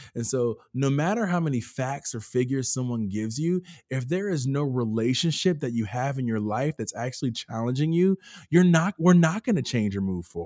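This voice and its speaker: An American-accented man at a fairly quick pace, medium pitch and dark, mellow tone, with lively intonation, on a very clean recording with a silent background. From US South. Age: 30s. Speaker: pastor. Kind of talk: casual chat.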